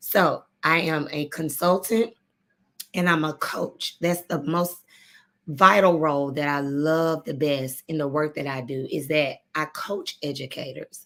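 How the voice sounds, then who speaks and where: This woman's voice is very deep and low, with a Southern US accent. She talks at a fairly slow pace with ordinary pitch variation. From Arkansas. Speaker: education consultant and coach. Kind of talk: live stream presentation. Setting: live video broadcast.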